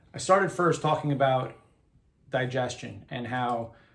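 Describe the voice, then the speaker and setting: There is audible room echo as a man speaks in a somewhat breathy, medium-pitched voice. His pace is moderate. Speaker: health and wellness coach. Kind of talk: casual interview conversation.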